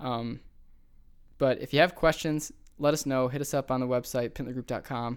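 A man with a slight Buffalo accent speaks at a medium pitch with fairly even intonation and long, frequent pauses. The recording is very clean, with a silent background. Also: moderate pace. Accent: Western New York (Buffalo), slight. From Buffalo, New York. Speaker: podcast host. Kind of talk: casual chat.

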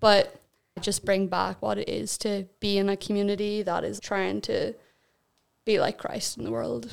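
This woman speaks at a fairly slow pace. She has a Northern Irish accent. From Northern Ireland, County Armagh. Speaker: missionary. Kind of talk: casual chat.

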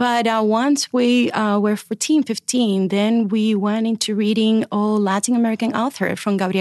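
Over a quiet background, a woman speaks at a moderate pace. Her pitch is fairly high, and the sound is dry and close with no echo. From Cuba. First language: Spanish. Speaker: children's book editor. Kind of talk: casual interview. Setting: studio.

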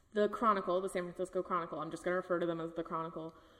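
A woman with a Californian accent speaks at medium pitch. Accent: Californian American. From Northern California (Napa). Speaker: podcast co-host. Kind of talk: casual true-crime storytelling.

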